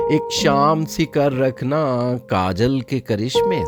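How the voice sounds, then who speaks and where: Over music in the background, the voice moves in very wide pitch swings. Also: man. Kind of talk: poetry reading. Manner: calm, tranquil.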